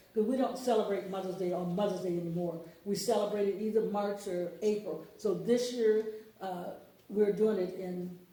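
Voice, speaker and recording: A woman's medium-pitched voice at a moderate pace, with fairly even intonation, audible room echo and noticeable background noise. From US South, Mississippi (Lawrence County). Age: 70s. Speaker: book author. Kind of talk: interview. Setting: radio studio.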